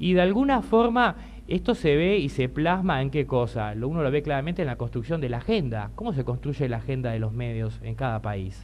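A man at a fairly quick pace, with hardly any pauses. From Uruguay. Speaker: LGBT rights activist; panelist. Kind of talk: panel talk. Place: hall. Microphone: podium.

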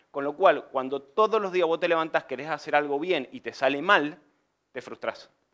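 Over a quiet background, a man talks at a fairly quick pace in a fairly high pitch with ordinary pitch variation. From Argentina, Mendoza; Argentina. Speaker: civil engineer and construction business owner; presenter. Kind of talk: conference presentation. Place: meeting room.

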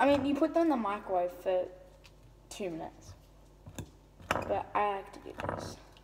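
At a moderate pace, a woman speaks with big swings in loudness over noticeable background noise. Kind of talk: casual tutorial chat. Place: kitchen. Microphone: phone near.

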